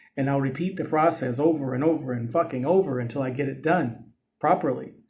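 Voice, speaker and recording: A man with an American accent talks at a fairly quick pace in a fairly high pitch. His intonation is fairly even, and audible room echo surrounds him. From US West Coast, East Oakland, California. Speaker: vlogger. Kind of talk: casual monologue vlog. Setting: outdoors on a ledge.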